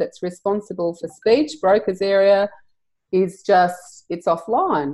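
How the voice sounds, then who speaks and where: Speaking at a fairly slow pace, a woman with an Australian accent shows ordinary pitch variation. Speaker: EFT practitioner and trainer. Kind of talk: interview.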